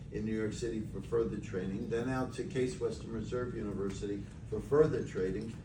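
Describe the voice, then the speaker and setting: Audible room echo surrounds the voice, along with noticeable background noise. The delivery keeps a moderate pace. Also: man. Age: 70s. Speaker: physician promoting supplement business. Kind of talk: sales pitch. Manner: halting.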